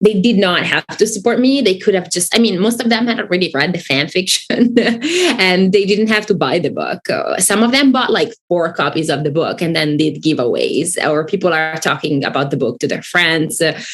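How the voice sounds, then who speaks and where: Against noticeable background noise, a woman with an Italian accent speaks at a medium pitch and moderate pace with lively intonation. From Italy. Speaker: author. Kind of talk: casual chat.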